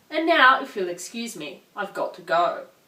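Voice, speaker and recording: A woman with an Australian accent talks at a moderate pace in a fairly high pitch with very wide pitch swings, over noticeable background noise. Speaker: film reviewer. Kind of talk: scripted narration.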